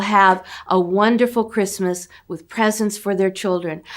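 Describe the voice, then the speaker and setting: On a very clean recording with a silent background, a woman with an American accent uses an ordinary speaking voice at medium pitch, moderate pace and ordinary pitch variation. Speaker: charity outreach representative. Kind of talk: appeal speech to camera.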